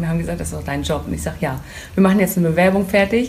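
A woman's medium-pitched voice, with noticeable background noise and audible room echo. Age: 30s. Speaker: hair tool sales representative. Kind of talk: casual interview. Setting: hair salon boutique.

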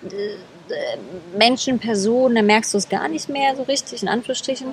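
A woman talks at a fairly quick pace in a high pitch with ordinary pitch variation. Noticeable background noise runs under her voice. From East Germany (Berlin, Leipzig, Erfurt). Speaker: wedding speaker. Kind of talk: casual interview. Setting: outdoors at a city square. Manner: animated, many fillers.

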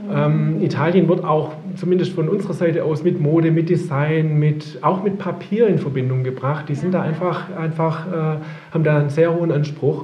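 A man talks at a moderate pace with a fairly high pitch and fairly even intonation. Audible room echo and noticeable background noise come through. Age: 50s. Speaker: print company managing director. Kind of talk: interview. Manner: hesitant, many fillers.

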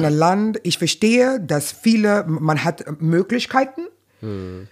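Her voice is fairly low for a woman and moves through very wide pitch swings. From New York, Brooklyn. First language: English (speaking German). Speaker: stand-up comedian. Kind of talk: casual interview.

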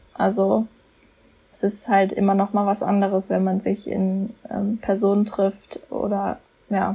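Fairly slow speech from a woman at medium pitch. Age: 20s. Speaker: podcast team member, volunteer. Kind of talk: casual chat. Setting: remote recording from home office.

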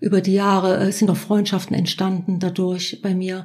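A woman's somewhat breathy voice of medium pitch, dark and mellow in tone, at a moderate pace. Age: 50s. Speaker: self-help group leader. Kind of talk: interview about personal experience.

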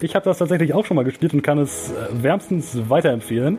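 Noticeable background noise behind a man with lively intonation. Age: 20s. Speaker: student radio presenter. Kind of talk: casual chat.

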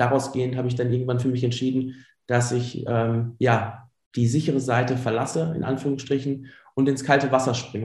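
A man at medium pitch talks at a fairly quick pace, somewhat breathy and in a monotone, flat intonation. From Germany, Ruhr area (Dorsten). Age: 30s. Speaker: entrepreneur, former primary school teacher. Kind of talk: interview. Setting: remote call.

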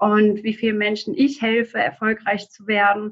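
A woman with an unremarkable speaking voice talks at a moderate pace with a fairly high pitch and fairly even intonation. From Germany, near Frankfurt am Main. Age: 20s. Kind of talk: interview answers.

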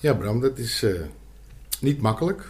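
Vocal fry runs through this man's voice. He talks at a fairly slow pace with lively intonation. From Amsterdam. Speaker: podcast co-host, former amateur footballer. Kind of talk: casual chat. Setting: studio.

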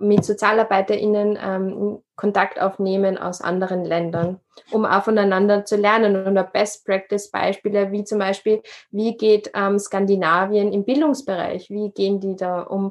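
Speaking at a fairly slow pace, a woman keeps a medium pitch in a monotone, flat delivery. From Upper Austria. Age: 20s. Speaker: social worker and podcaster. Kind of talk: interview.

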